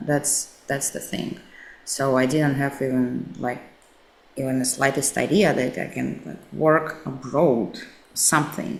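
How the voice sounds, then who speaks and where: With a Russian accent, a woman speaks at a fairly slow pace in a very deep, low pitch, showing ordinary pitch variation. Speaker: actress and social media coach. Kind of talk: interview.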